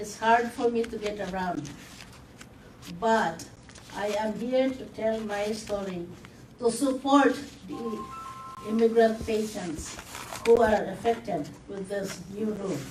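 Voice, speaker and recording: Music plays behind a woman with a fairly high pitch, and audible room echo colors the sound. She speaks at a fairly slow pace with long, frequent pauses, ordinary pitch variation, and big swings in loudness. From Philippines. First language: not English. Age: 70s. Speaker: community health patient. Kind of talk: testimony. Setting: news conference.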